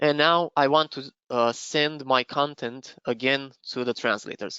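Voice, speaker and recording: A man speaks with a Romanian accent. His intonation stays fairly even. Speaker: software trainer presenting a webinar. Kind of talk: live software demo webinar. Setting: online webinar. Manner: halting, many fillers.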